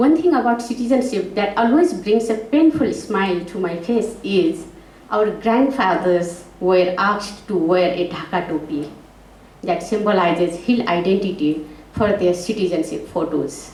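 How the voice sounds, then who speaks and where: There is audible room echo and noticeable background noise as a woman of medium pitch speaks at a moderate pace with lively intonation. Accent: Nepalese. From Nepal, Tarai (Tharu village in Kailali). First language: Tharu. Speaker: panel speaker. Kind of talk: prepared talk read aloud.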